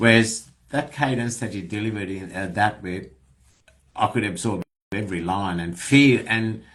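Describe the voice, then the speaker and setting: A man speaks with an Australian accent. His pitch is fairly low, and he talks at a moderate pace. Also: ordinary pitch variation. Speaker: podcast host. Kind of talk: casual interview chat. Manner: hesitant, many fillers.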